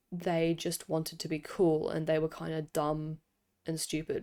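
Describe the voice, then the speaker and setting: A woman with a dark, mellow tone and an Australian accent, on a very clean recording with a silent background. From Australia, Sydney. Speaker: podcaster, K-pop commentator. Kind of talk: casual monologue commentary. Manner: casual, with frequent fillers.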